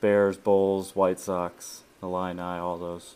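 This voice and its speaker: Over a very clean, silent background, a man with an American accent speaks very slowly in a very deep, low pitch with monotone, flat intonation. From Florida, Tampa. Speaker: military veteran, sports fan. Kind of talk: casual interview.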